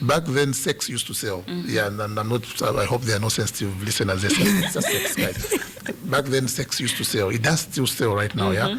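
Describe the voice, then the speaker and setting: Lively intonation at a moderate pace, hardly any pauses, and noticeable background noise. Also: man, medium pitch for a man. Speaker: comedian. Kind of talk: radio interview answer. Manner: conversational, explanatory.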